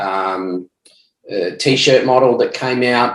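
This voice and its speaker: Speaking with an Australian accent, a man shows ordinary pitch variation. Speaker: ecommerce entrepreneur, former police detective. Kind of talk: podcast interview.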